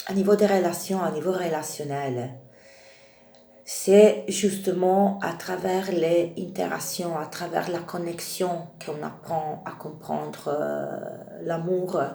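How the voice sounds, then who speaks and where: A woman at a very slow pace with ordinary pitch variation, amid audible room echo and noticeable background noise. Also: fairly low pitch for a woman. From Italy. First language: Italian (speaking French). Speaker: tarot reader. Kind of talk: spiritual talk to camera. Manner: halting, many hesitations.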